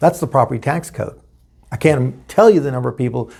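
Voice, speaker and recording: Over a silent background in a very clean recording, a man with an American accent talks very fast at a medium pitch, with vocal fry and ordinary pitch variation. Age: 60s. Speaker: political candidate. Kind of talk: interview.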